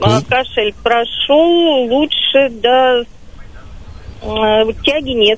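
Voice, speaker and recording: A woman speaks with a high pitch and ordinary pitch variation over noticeable background noise. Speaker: radio caller, ex-smoker. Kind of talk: phone-in testimony. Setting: phone call.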